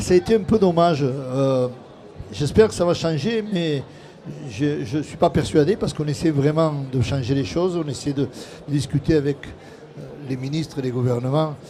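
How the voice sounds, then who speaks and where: Noticeable background noise sits behind a man talking at a moderate pace. His pitch is fairly high, with ordinary variation. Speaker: trade federation president. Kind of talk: panel discussion. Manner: hesitant, with repetitions.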